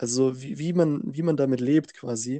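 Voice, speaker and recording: A man speaks in an ordinary speaking voice. His pitch is fairly high, with ordinary pitch variation. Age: 20s. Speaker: podcast co-host. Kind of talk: casual chat.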